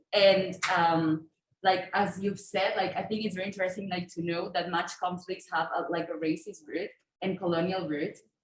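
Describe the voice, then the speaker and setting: A woman speaks at a moderate pace in a medium-pitched, somewhat breathy voice. Her intonation stays monotone and flat. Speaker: audience participant. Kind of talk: audience intervention. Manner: halting.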